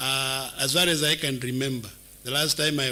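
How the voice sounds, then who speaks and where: Noticeable background noise fills the recording. A man speaks at a medium pitch. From Kenya, Machakos County. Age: 60s. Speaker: job candidate. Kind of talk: interview panel vetting. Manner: formal.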